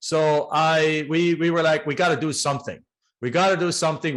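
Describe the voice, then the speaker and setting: A man talks with a German accent. He moves at a fairly quick pace. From Germany. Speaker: real estate investor. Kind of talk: podcast interview.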